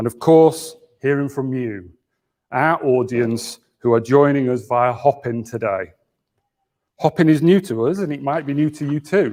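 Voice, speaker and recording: With a northern English accent, a man speaks fairly slowly in a fairly high voice with a dark, mellow tone and ordinary pitch variation. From Yorkshire. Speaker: think tank chief executive. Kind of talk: conference opening speech. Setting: office venue, live hybrid conference. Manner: formal.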